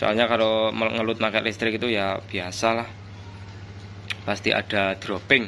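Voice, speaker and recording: Over light background noise, the voice is bright and sharp, flat and monotone, at a fairly slow pace. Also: man, fairly low pitch for a man. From East Java, Indonesia. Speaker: audio amplifier builder and seller; seller. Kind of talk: product review video. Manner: casual. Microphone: phone near.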